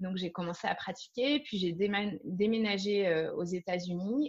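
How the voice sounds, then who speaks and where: Here is a woman with a plain, everyday voice at a medium pitch. She keeps a moderate pace with ordinary pitch variation. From France. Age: 30s. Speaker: yoga teacher. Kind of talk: interview.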